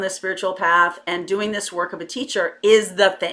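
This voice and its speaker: A woman with an American accent speaks in a bright, sharp tone with monotone, flat intonation. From Connecticut, US. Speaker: tarot reader and spiritual coach; tarot reader, spiritual coach. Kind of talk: personal testimony to camera. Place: home room. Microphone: webcam.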